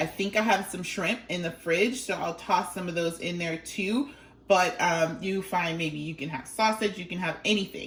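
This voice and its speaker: A woman's fairly low voice with ordinary pitch variation at a moderate pace, over noticeable background noise. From Liberia. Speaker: cooking vlogger. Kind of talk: cooking tutorial. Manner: casual, chatty.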